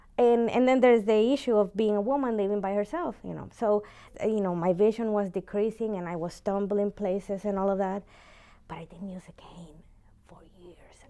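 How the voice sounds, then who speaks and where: A woman's voice at medium pitch, dark and mellow in tone, at a fairly quick pace, with ordinary pitch variation and big swings in loudness. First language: Spanish. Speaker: university teacher. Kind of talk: interview. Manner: halting.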